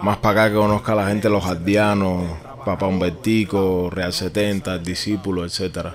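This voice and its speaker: In a Cuban accent, a man speaks at a moderate pace with flat, monotone intonation over noticeable background noise. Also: fairly low pitch for a man. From Cuba, Havana. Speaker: rapper. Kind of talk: casual chat.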